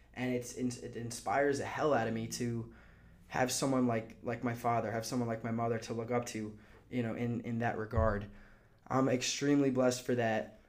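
Audible room echo surrounds a man with an American accent. He speaks at a fairly quick pace with a medium pitch. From United States. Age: 20s. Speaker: podcast host. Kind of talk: motivational monologue. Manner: animated; halting, many repeats and fillers.

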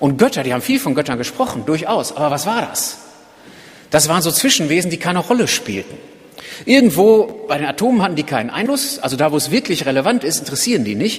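Very wide pitch swings mark a man's very fast speech at a fairly high pitch. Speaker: preacher. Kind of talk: sermon. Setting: church. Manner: earnest, driven, urgent; conversational, explanatory, lightly humorous.

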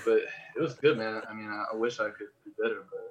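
Words come out at a very fast pace. The accent is American. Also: man. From Los Angeles. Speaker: podcast producer. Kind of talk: casual chat.

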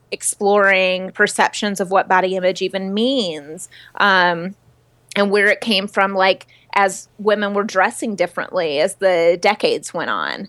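An unremarkable speaking voice belongs to a woman at a medium pitch. She keeps a fairly slow pace and fairly even intonation. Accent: American. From US South. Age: 30s. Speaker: body-image activist and writer. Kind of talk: interview. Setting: video call.

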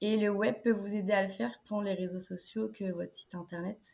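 This woman's voice has a dark, mellow tone. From France, Niort (Deux-Sèvres). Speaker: student entrepreneur, web agency founder. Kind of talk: interview.

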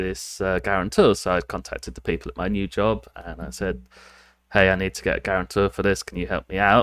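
A man with a British accent talks at a fairly quick pace and fairly low pitch, with vocal fry and big swings in loudness, in a very clean, dry, close recording with no echo and a silent background. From United Kingdom. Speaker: programmer. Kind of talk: casual chat.

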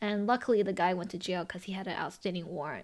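A woman speaks with a Chinese accent and ordinary pitch variation. The recording is very clean, with a silent background. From Los Angeles, US. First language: Mandarin Chinese. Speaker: podcast host and business owner. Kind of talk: casual chat. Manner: halting, with many filler words.

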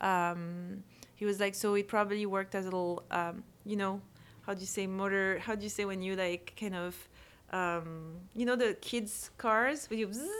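On a very clean recording with a silent background, a woman speaks at a moderate pace with a medium pitch and fairly even intonation. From France (Corsica). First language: French. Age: 40s. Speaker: photographer and author. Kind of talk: casual interview.

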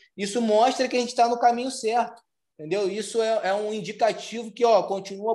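Speaking at a fairly quick pace, a man keeps his intonation fairly even at a high pitch. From Rio de Janeiro, Brazil. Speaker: chef. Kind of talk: interview.

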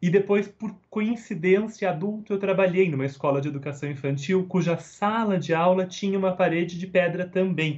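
In a São Paulo accent, a high-pitched man speaks at a moderate pace with hardly any pauses and ordinary pitch variation. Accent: Brazilian Portuguese, São Paulo. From Brazil, São Paulo. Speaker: Montessori researcher and educator. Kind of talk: interview. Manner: hesitant repetitions.

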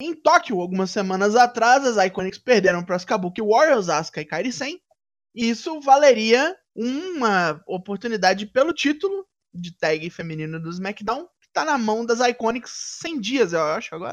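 On a very clean recording with a silent background, a man with a high pitch shows very wide pitch swings and big swings in loudness. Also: moderate pace. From Brazil, Minas Gerais. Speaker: wrestling podcast panelist. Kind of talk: casual chat.

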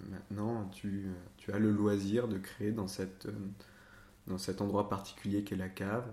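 Pausing long and often, a man speaks at a fairly slow pace and fairly low pitch in a flat monotone, with audible room echo. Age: 20s. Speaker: theatre director. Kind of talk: interview. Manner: halting.

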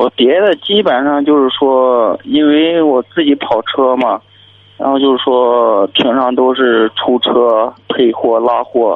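A man speaks very slowly at a medium pitch with ordinary pitch variation. His loudness stays very even. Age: 30s. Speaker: caller, driver. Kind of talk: phone-in advice call.

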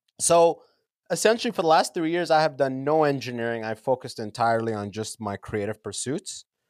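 A man with a Canadian accent talks at a fairly quick pace in a plain, everyday voice, his pitch medium and his intonation lively. The sound is dry and close, with no echo. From Canada, London, Ontario. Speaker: podcaster and comedian. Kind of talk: casual interview chat. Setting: remote call from a basement.

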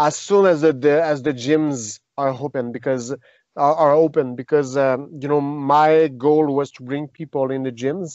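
Speaking with a Quebec accent, a man uses a fairly high pitch and fairly even intonation at a fairly slow pace. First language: French. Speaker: retired mixed martial arts fighter and jiu-jitsu teacher. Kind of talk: interview. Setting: remote call. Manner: halting.

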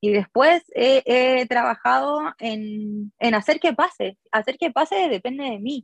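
The recording is dry and close with no echo, carrying a woman's high-pitched voice. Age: 30s. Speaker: designer and small business owner. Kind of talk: interview.

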